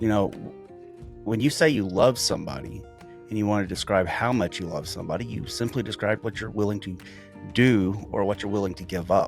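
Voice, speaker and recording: Lively intonation at a moderate pace over music in the background. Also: man. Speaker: former police officer. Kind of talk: monologue to camera.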